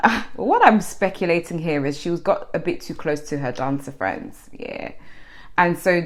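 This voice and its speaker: A woman with a London accent speaks in a fairly low pitch with lively intonation. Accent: London English, multicultural London. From London (Harlesden), England. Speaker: YouTuber, celebrity commentator. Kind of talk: casual vlog commentary. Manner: chatty, conversational.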